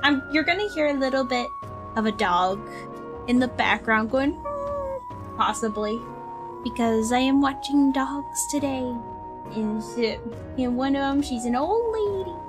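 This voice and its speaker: Clear music plays in the background. The speech is broken by long, frequent pauses. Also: woman, high pitch for a woman, fairly slow pace. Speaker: vtuber streamer. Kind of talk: casual stream chat. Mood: cheerful, playful. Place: home room.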